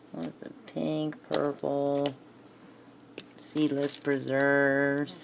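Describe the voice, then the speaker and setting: Noticeable background noise runs throughout. Over it, a woman talks very slowly. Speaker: craft video creator. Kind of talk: crafting tutorial chat. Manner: casual, self-talking.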